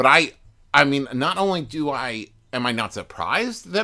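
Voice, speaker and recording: A bright, sharp voice with vocal fry, very wide pitch swings and an American accent, in a very clean recording with a silent background. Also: man. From US, West Virginia. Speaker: podcaster. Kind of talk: casual chat. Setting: studio. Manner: animated.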